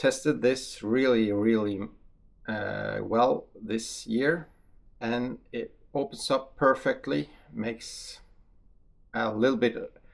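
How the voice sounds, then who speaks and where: The man has a Norwegian accent. He speaks very slowly, leaving long, frequent pauses. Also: very clean recording, silent background. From Norway. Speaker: hunter and ammunition tester. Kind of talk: casual video talk to camera. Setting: outdoor shooting range. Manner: hesitant, many fillers.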